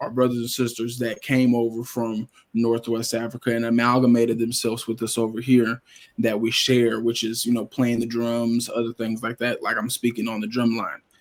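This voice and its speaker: A man speaks with an American accent at medium pitch. His intonation is monotone and flat. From Oklahoma, north Tulsa. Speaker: interview guest. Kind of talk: casual interview. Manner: halting, many fillers.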